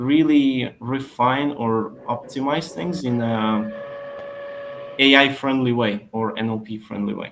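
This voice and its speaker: A man with a non-native accent talks very slowly at a medium pitch. Noticeable noise can be heard behind him. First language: not English. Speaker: SEO expert. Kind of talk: webinar Q&A.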